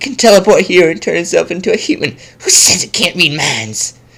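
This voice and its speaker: A put-on character voice at middle pitch moves along at a fairly quick pace. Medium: read story. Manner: panicky.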